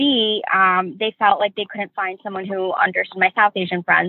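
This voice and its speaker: Using a normal speaking voice with an American accent, the speaker keeps a moderate pace and fairly even intonation. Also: woman. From New York. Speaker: medical student and grief educator. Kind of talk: interview.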